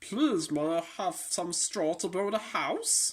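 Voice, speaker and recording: A put-on character voice at middle pitch moves along at a fairly slow pace. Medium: read story.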